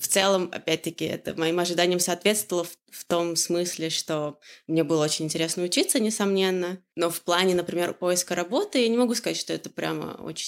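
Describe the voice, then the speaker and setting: A woman with a fairly low pitch talks at a fairly quick pace, her intonation fairly even but her loudness swinging widely. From Russia, Orenburg region. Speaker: growth hacker, agency partner. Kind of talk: casual interview. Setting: home kitchen. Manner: hesitant, many filler sounds.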